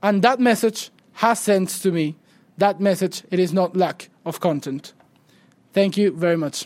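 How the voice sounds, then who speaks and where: Speaking with a Spanish accent, a man with a high pitch varies it in an ordinary way and leaves long, frequent pauses. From Venezuela. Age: 20s. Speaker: student movement leader. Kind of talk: public lecture. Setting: stage with audience. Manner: halting.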